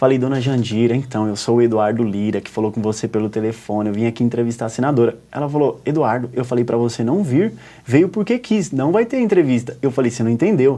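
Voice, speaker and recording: A man at medium pitch with a dark, mellow tone, ordinary pitch variation, a very fast pace and hardly any pauses. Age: 20s. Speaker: journalist and writer. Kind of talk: TV interview storytelling. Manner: animated.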